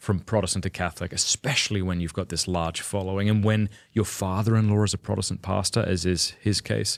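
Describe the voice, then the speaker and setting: An unremarkable speaking voice moves at a fairly quick pace with fairly even intonation and hardly any pauses. The recording is very clean and silent in the background, with dry, close sound and no echo. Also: man, fairly low pitch for a man. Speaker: podcast host. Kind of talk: podcast interview, asking questions.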